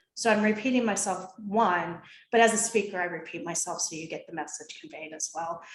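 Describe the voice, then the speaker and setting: A woman at medium pitch in a plain, everyday voice, fairly quick, with ordinary pitch variation and big swings in loudness. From US Midwest, Ohio. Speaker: behavioral consultant and coach. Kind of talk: interview with presentation.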